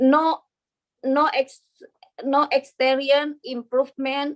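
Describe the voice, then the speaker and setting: A woman talks with a high pitch. Her pace is very slow. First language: not English. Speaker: business applicant. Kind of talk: reading aloud. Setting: video call. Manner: halting.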